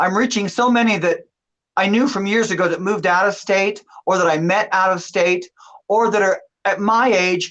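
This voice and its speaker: Here is a woman with an unremarkable speaking voice. Her pitch sits in the medium range. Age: 60s. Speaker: drag performer. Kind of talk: casual chat.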